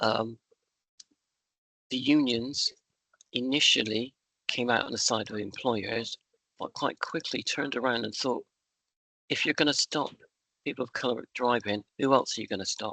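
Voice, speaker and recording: With a West Country accent, a man speaks in a bright, sharp tone with fairly even intonation and long, frequent pauses. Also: medium pitch for a man, moderate pace, dry, close sound with no echo. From West Country, England. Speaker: trade union member speaker. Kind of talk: talk at an online union meeting.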